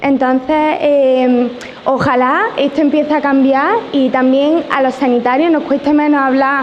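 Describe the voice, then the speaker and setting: A high-pitched woman speaks at a fairly slow pace with fairly even intonation and very even loudness. Noticeable background noise and audible room echo fill the recording. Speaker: nurse and audience member. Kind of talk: audience question at conference. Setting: conference hall with audience. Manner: halting, many fillers.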